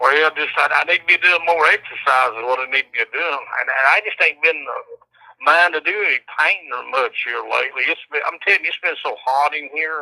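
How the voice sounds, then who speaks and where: A man with a strong Southern US accent talks at a fairly quick pace, his loudness swinging widely. The sound is dry and close, with no echo. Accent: strong rural Southern US (country). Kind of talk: casual chat. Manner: halting.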